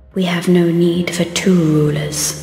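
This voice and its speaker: With a clear echo around her, a woman uses a put-on character voice at a fairly slow pace. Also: fairly low pitch for a woman. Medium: fan dub. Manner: smooth, coaxing.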